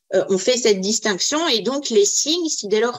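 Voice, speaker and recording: Here a woman talks at a moderate pace. Her pitch moves in an ordinary way. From Quebec. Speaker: radicalization prevention practitioner. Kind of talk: webinar panel discussion. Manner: halting, repeated words.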